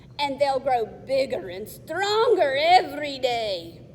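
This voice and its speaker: A woman uses a put-on character voice, high-pitched with very wide pitch swings. She speaks at a fairly slow pace against light background noise. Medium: read story.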